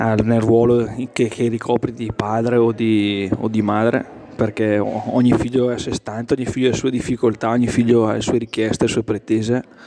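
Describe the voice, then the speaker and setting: Flat, monotone intonation from a man at medium pitch, amid noticeable background noise. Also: moderate pace. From Brescia area. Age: 30s. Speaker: father of a large family. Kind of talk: interview.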